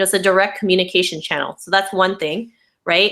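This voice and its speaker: The woman's tone is bright and sharp. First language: not English. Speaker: blogger and online marketing teacher. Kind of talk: webinar presentation.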